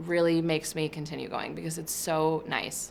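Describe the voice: Vocal fry marks a woman's low-pitched voice. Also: fairly bright tone.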